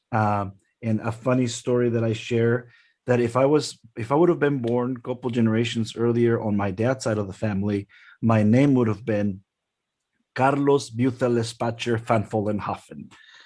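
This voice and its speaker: With a slight Mexican accent, a man talks at a moderate pace in a medium pitch, his dark, mellow tone carrying fairly even intonation over a quiet background. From Mexico, Guerrero. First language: Spanish. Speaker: intercultural development speaker. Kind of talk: presentation. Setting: webinar.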